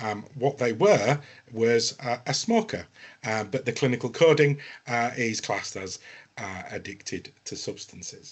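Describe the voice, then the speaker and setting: A man with a northern English accent talks at a fairly slow pace, his medium pitch showing ordinary variation. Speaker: health tech business development executive. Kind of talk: panel webinar discussion. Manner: hesitant, many fillers.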